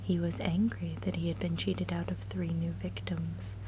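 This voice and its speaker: A woman whispers softly at a moderate pace amid noticeable background noise. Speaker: ASMR creator. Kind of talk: relaxing story reading. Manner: low, soft-spoken, whispered.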